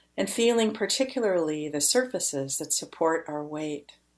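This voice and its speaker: A woman speaks in a plain, everyday voice with a fairly low pitch and ordinary pitch variation. The recording is very clean with a silent background. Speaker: podcast host. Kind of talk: interview conversation. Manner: warm, gentle.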